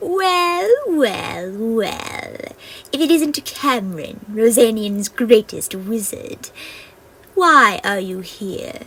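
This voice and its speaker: A put-on character voice from a woman, fairly high in pitch and delivered at a very slow pace. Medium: read story. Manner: scornful, taunting.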